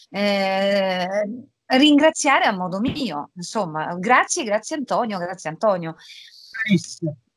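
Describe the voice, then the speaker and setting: The woman's voice sounds dry with no echo, over a quiet background. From Rome, Italy; Italy. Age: 40s. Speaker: voice actress. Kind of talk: interview. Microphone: video call.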